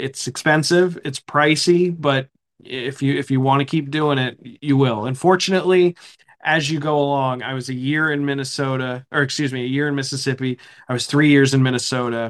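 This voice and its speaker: This man has an ordinary speaking voice with an American accent. He talks at a fairly quick pace with a fairly high pitch and fairly even intonation. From eastern Pennsylvania. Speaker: hockey play-by-play broadcaster. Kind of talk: interview, casual chat.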